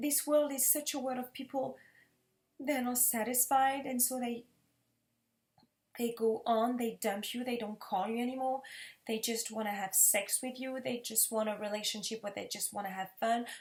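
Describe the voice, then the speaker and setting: A woman with a French accent speaks at a moderate pace. Her high voice keeps a fairly even intonation. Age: 30s. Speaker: vlogger. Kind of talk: personal testimony. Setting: living room.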